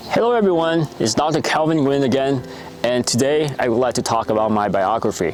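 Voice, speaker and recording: Over noticeable background noise, a man speaks at a fairly quick pace with lively intonation and very even loudness. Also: medium pitch for a man. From Vietnam. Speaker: doctor. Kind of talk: personal talk to camera. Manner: halting, with fillers.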